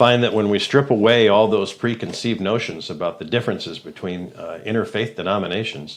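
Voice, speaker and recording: Against noticeable background noise, a man with a fairly low pitch speaks with hardly any pauses. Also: ordinary pitch variation. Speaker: radio host. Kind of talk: casual chat. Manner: loud.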